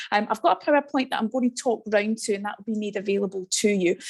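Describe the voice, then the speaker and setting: In a west of Scotland accent, a woman with a medium-pitched voice talks at a very fast pace. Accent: Scottish (west of Scotland). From Scotland, west coast. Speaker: teacher educator. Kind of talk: online presentation. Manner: animated.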